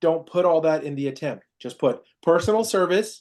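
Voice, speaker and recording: The background stays quiet while a man speaks. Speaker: process serving company manager training staff. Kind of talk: staff training meeting. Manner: fast.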